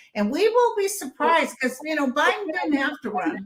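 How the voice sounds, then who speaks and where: Her voice raised and projected, a woman talks at a moderate pace. She swings her pitch very widely. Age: 70s. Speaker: psychic. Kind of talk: casual chat.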